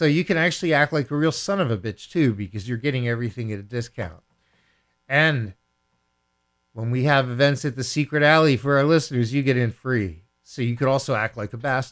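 A man with an ordinary speaking voice talks at a fairly quick pace and medium pitch, his intonation lively. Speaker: radio DJ. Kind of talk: self-mythologizing radio DJ patter, throwing to a song. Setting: radio studio. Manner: theatrical, playful showman with grandiose self-titles; jokey, mock-commanding toward listeners.

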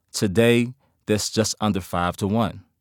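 A man with a Memphis accent at medium pitch, ordinary pitch variation, and a dry, close sound with no echo on a very clean recording with a silent background. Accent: Southern US (Memphis). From US South, Memphis, Tennessee. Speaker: criminal justice professor and former police officer. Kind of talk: interview.

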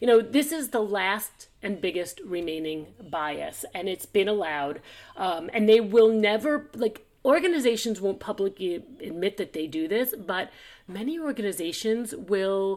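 An ordinary speaking voice at a fairly slow pace with lively intonation, on a very clean recording with a silent background. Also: woman. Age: 50s. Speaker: podcast host, business and career coach. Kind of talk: casual chat.

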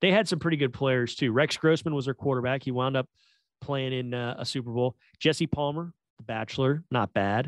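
A plain, everyday voice from a man, medium in pitch with ordinary pitch variation, fairly quick, dry and close with no echo against a quiet background. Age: 40s. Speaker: football podcast host. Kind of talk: casual chat.

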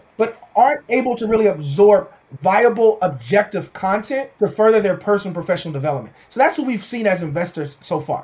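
A man with an American accent, high pitch, lively intonation and a moderate pace. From Houston, Texas. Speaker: tech entrepreneur. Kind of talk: interview.

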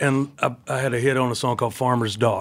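With an American accent, a man has an unremarkable speaking voice at a medium pitch, talking at a moderate pace on a very clean recording with a silent background. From Tennessee, US South. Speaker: country singer.

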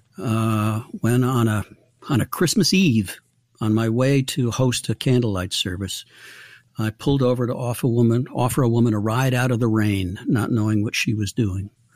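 On a very clean recording with a silent background, a man with a medium pitch and ordinary pitch variation speaks at a moderate pace in a normal speaking voice. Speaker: recovery ministry founder. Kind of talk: interview.

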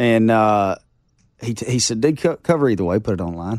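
A man with an Arkansas accent talks at a very fast pace, his fairly low pitch making very wide swings. The recording is very clean, with a silent background. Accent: Southern US (Arkansas). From US South, Arkansas Ozarks. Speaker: country singer. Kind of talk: casual chat.

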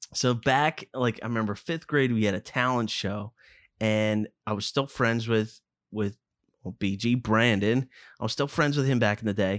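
In a very clean recording with a silent background and a dry, close sound with no echo, a man with a Philadelphia accent speaks at a medium pitch and moderate pace with fairly even intonation. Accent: Philadelphia area. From suburban Philadelphia. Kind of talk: casual chat.

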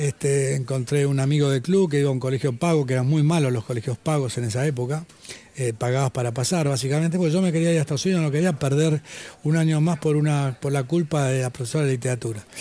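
Speaking very fast, a man with an Argentine accent keeps his loudness very even. His pitch is fairly high, with fairly even intonation. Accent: Argentine Spanish (Rioplatense). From Argentina. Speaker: former tennis player and author. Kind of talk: interview. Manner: halting.

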